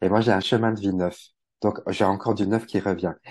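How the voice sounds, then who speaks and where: A dark, mellow tone carries the voice. The background stays quiet. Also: man. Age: 40s. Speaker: numerologist and wellbeing practitioner. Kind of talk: casual interview.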